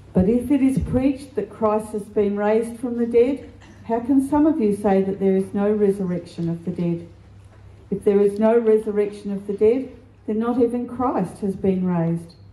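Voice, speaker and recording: Speaking at a moderate pace, a woman sounds somewhat breathy, with ordinary pitch variation and audible room echo. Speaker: scripture reader. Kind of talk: scripture reading. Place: church. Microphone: handheld.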